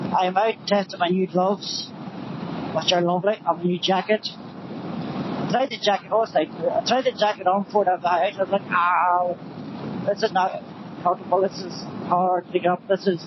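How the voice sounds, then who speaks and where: This speaker, with a Northern Irish accent, leaves long, frequent pauses over noticeable background noise. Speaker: motorbike vlogger. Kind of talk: casual vlog talk while riding. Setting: outdoors on a motorbike. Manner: loud, shouting.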